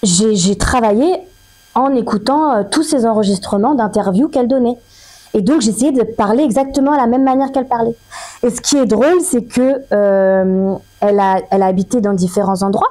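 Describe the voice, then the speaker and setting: A woman's fairly high voice at a moderate pace, with lively intonation, very even loudness and noticeable background noise. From Paris. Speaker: actress. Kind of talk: interview.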